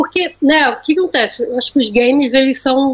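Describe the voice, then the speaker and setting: A woman speaks at a high pitch. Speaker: agency planning director. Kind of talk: casual chat. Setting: remote call from Austin, Texas.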